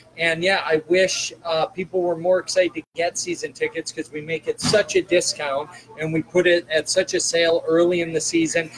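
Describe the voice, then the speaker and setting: A man with an American accent speaks fairly quickly at a high pitch in a flat monotone, hardly pausing, with noticeable background noise. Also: dry, close sound with no echo. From Chicago. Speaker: hockey team general manager, coach and captain. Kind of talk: casual interview.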